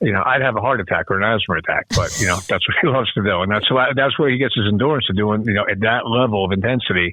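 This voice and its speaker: A man speaking at a very fast pace with hardly any pauses, very even loudness and ordinary pitch variation, against noticeable background noise. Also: medium pitch for a man. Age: 60s. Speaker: rock guitarist. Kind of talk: casual interview. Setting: phone call.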